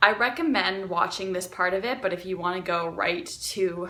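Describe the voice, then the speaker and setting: Here is a woman with a normal speaking voice. Her pitch is medium, with ordinary pitch variation. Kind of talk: casual talk to camera.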